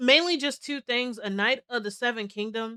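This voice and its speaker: Bright and sharp in an animated tone, a woman speaks with ordinary pitch variation in a dry, close sound without echo. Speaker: VTuber streamer. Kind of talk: casual chat.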